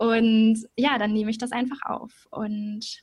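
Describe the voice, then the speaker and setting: Fairly high in pitch, a woman speaks in a somewhat breathy voice. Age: 20s. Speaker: journalism student and podcaster. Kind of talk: interview.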